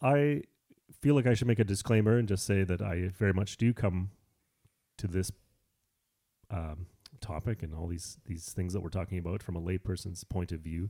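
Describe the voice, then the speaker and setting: On a very clean recording with a silent background, a voice with a Canadian accent and a dark, mellow tone moves at a moderate pace, with ordinary pitch variation and long, frequent pauses. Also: man, very deep, low pitch for a man. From Canada. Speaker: podcast co-host. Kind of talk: casual Bible discussion.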